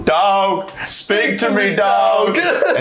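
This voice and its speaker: A man's high-pitched, put-on character voice at a very slow pace. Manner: dramatic, anguished.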